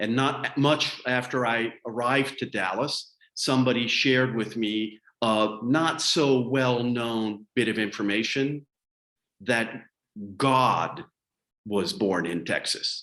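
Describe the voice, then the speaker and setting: Very slowly, a man with an American accent speaks at medium pitch in a bright, sharp tone, with ordinary pitch variation. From Colorado, US. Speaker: public speaking coach. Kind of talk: webinar training.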